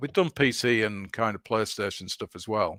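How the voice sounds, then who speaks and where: In a Yorkshire accent, a man talks at a medium pitch with ordinary pitch variation, recorded very cleanly with a dry, close sound, no echo and a silent background. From northern England, Leeds. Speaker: video game developer. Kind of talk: interview. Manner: halting.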